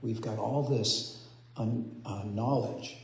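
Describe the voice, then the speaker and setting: Amid noticeable background noise and audible room echo, a man with a medium pitch talks at a very slow pace with fairly even intonation. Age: 60s. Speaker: spiritual speaker. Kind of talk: sermon. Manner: soft-spoken; halting. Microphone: too quiet.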